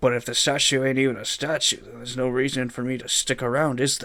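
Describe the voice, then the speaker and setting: Using a put-on character voice, a man speaks at a moderate pace and medium pitch with a raspy sound. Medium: virtual streamer. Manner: cheeky.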